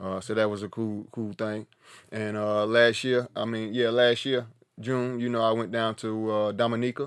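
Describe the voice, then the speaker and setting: At a moderate pace and medium pitch, a man speaks with an Appalachian accent in a very clean recording with a silent background. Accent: Southern US (Appalachian North Carolina). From US South, mountains of North Carolina. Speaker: podcast host, hiker. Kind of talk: casual monologue. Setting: tiny house, home recording. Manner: animated.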